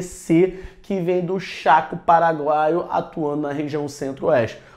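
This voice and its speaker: A man with a high voice speaks in an animated tone at a fairly slow pace, with ordinary pitch variation. Room echo is audible. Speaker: geography teacher for military exam prep. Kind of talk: lecture. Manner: animated, casual slangy.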